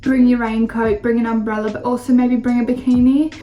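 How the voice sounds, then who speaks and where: Music plays behind a woman with an Australian accent who speaks fairly quickly at a fairly high pitch. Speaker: vlogger. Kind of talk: casual vlog talk to camera. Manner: animated.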